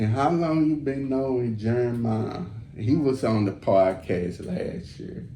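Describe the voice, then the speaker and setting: A man with an American accent at a fairly slow pace, lively intonation, audible room echo and noticeable background noise. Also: medium pitch for a man. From Texas, Fort Worth. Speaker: podcast host. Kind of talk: casual chat.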